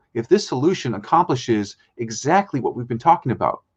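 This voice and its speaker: A fairly quick voice with very wide pitch swings and a somewhat breathy quality sits over a quiet background. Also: man. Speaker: spoken word strategist, guest on a business show. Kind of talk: live business show presentation.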